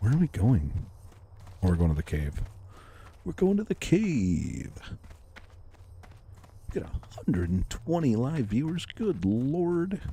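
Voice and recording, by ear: A quiet man at medium pitch, slow and with big pitch swings, dark, mellow tone, and long, frequent pauses.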